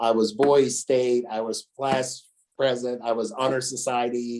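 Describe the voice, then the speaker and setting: A man speaks with an American accent at a medium pitch. His tone is dark and mellow. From US South, northern Alabama (Florence). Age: 60s. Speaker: business executive. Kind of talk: interview.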